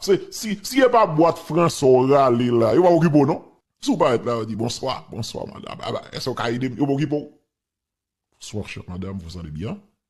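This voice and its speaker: This man's pitch swings very widely and his loudness rises and falls sharply as he talks at a fairly quick pace. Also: fairly high pitch for a man. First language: Haitian Creole (speaking French). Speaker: political commentator. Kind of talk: casual commentary. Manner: animated.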